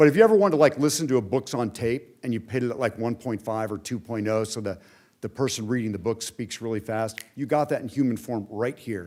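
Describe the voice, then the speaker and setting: Medium-pitched, a man talks at a very fast pace with an American accent. His pitch varies in an ordinary way. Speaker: former diplomat and hostage envoy. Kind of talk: speech.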